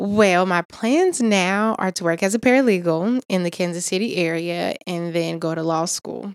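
A woman with an American accent talks at a moderate pace with hardly any pauses, her medium pitch showing ordinary variation, in a dry, close sound with no echo. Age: 20s. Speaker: college student and former foster youth. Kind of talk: interview. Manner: hesitant with frequent um.

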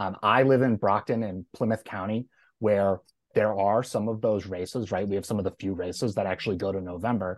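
A man with an American accent talks at a fairly quick pace in a plain, everyday voice, fairly low in pitch, with dry, close sound, no echo and a quiet background. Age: 30s. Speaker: political consultant. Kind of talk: debate.

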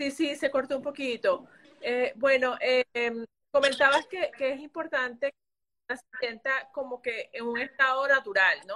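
High-pitched woman's voice, raised and projected, bright and sharp in tone, at a fairly slow pace with big swings in loudness and fairly even intonation. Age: 40s. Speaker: podcast host and fashion brand owner. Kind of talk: interview.

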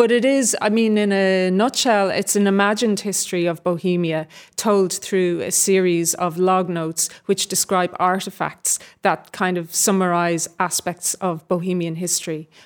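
A woman with a Dublin accent, medium pitch and fairly even intonation, at a moderate pace with hardly any pauses. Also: very clean recording, silent background. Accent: Dublin Irish. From Dublin, Ireland. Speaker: novelist and actor. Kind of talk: interview before a live audience. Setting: stage with live audience.

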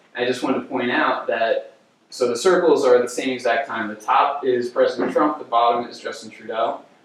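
A man speaks at a fairly quick pace with a slight New Jersey accent, his loudness swinging widely. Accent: New Jersey American, slight. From New Jersey, US. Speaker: graduate student giving a lecture. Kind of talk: lecture. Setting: lecture hall with audience.

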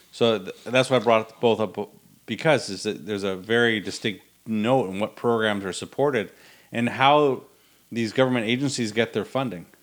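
A man speaks at a moderate pace and a fairly low pitch with fairly even intonation. It is a normal speaking voice, on a very clean recording with a silent background. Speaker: podcast co-host. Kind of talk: casual chat.

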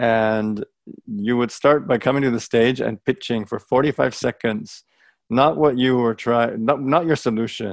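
A normal speaking voice from a man with an American accent, medium in pitch, comes at a moderate pace in a dry, close sound with no echo over a quiet background. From United States, Greek family. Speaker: startup accelerator director. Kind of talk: interview.

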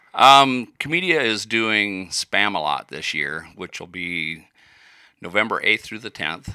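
Speaking in a Midwestern US accent, a man uses a fairly low pitch with very wide pitch swings and a bright, sharp tone. The recording is very clean, with a silent background. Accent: US Midwest. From Iowa. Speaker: musician and woodworker. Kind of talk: casual chat.

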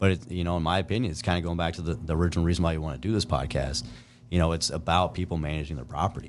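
Very fast and very deep, a man's low voice comes through with vocal fry. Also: ordinary pitch variation. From US Midwest, eastern Nebraska. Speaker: outdoor gear product developer and trapper. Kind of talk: casual interview.

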